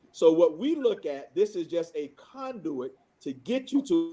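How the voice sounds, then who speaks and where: Loud and dark, with a mellow tone, a man speaks at a fairly slow pace using very wide pitch swings. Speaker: pastor and school founder. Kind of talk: panel discussion.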